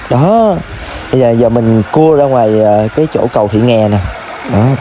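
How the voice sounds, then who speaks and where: A man speaks at a fairly slow pace in a medium pitch, with ordinary pitch variation and very even loudness. Noticeable background noise sits behind him. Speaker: motorbike vlogger. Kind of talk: vlog narration while riding. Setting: outdoors on a motorbike.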